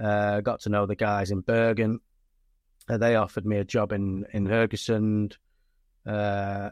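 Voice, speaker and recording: Against a quiet background, a man with an English accent and a fairly low pitch speaks at a moderate pace with fairly even intonation and long, frequent pauses. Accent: English accent, noted as non-Norwegian. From northern England, Stockport area. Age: 40s. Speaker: rugby league coach. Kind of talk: casual chat.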